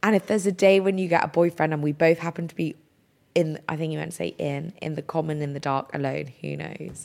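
This woman speaks at a very fast pace with an English accent. Her pitch is very deep and low, and her intonation stays fairly even. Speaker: podcast co-host. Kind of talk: casual chat.

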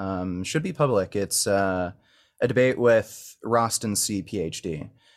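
A man with a plain, everyday voice, ordinary pitch variation, and a fairly slow pace, on a very clean recording with a silent background. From Canada. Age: 30s. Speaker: vegan activist and online content creator. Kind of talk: heated debate.

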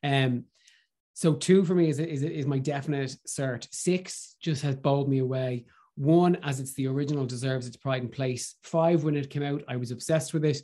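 Against a quiet background, a man with an Irish accent speaks at a moderate pace in a fairly high pitch, with a dark, mellow tone and fairly even intonation. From Ireland. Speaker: radio host and drag performer. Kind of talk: casual chat.

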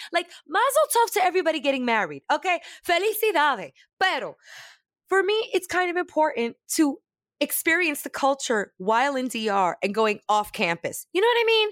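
A woman's extremely high, animated voice with very wide pitch swings at a fairly quick pace, in a dry, close sound with no echo on a very clean recording with a silent background. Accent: New York. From New York, Brooklyn. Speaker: comedian and voice actor. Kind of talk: casual chat. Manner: loud.

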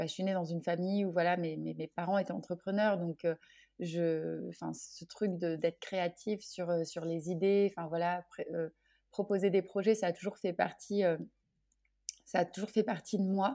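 A woman with a fairly low pitch, speaking at a fairly slow pace. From France (Orléans). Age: 30s. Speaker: association founder, entrepreneur. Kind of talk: casual interview chat. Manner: hesitant, with frequent repetitions.

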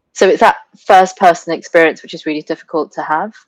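Heard in a dry, close sound with no echo, a woman talks at fairly low pitch and moderate pace with fairly even intonation. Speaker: sustainability expert and entrepreneur. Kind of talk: interview.

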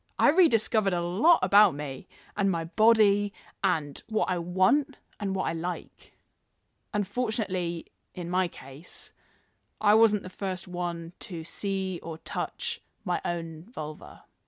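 In a very clean recording with a silent background and a dry, close sound with no echo, a woman with a medium pitch speaks in a normal speaking voice at a fairly slow pace with ordinary pitch variation. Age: 20s. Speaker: personal storyteller. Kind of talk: testimony.

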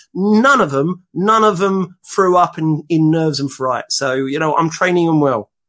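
Here a man with a London accent talks at a moderate pace and a high pitch, with lively intonation and hardly any pauses. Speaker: dating blogger and father. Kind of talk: casual chat.

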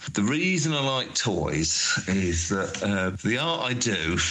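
A man speaks over noticeable background noise. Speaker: artist and sculptor. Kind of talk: recorded voice messages. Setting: voice note recording.

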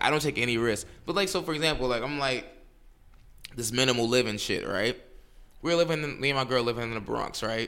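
A man with a New York accent and medium pitch, bright and sharp in tone, talking very fast with ordinary pitch variation and long, frequent pauses. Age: 20s. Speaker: attorney and podcast co-host. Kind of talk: casual chat. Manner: fast, filler-heavy speech.

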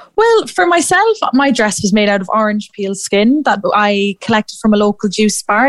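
In an Irish Midlands accent, a woman speaks at a moderate pace with a fairly high pitch, her sound dry and close with no echo. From Ireland, Athlone. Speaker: youth fashion competition PR head. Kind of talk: radio interview.

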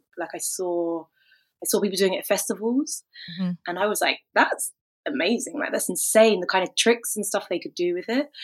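A woman of medium pitch talks at a fairly quick pace with lively intonation. She has a normal speaking voice. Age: 30s. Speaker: hula hoop performer and fitness instructor. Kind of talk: casual chat.

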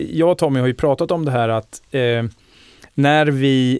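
On a very clean recording with a silent background and a dry, close sound with no echo, a man uses a plain, everyday voice at medium pitch, with fairly even intonation and a moderate pace. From Sweden, Linköping. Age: 40s. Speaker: podcast host. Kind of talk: casual chat.

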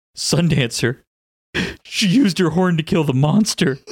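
A man puts on a character voice, pitched high for a man. He speaks at a moderate pace.

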